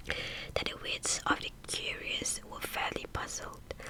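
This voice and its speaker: A woman whispers, and noticeable background noise surrounds her voice. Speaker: ASMR creator. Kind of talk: audiobook-style story reading, ASMR. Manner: slow, whispered, with repeated words and stumbles.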